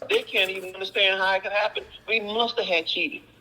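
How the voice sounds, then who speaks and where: Noticeable noise runs behind a man who speaks at a fairly quick clip. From US South, Texas (Houston). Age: 60s. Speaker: actor-comedian, former police officer. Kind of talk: casual interview chat. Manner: animated.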